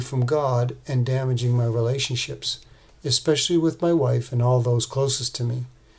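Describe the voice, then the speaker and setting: The voice is somewhat breathy and moves at a moderate pace. Its intonation stays fairly even. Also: man. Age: 60s. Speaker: man in addiction recovery sharing his story. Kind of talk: prepared testimony. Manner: read from a script, even pace.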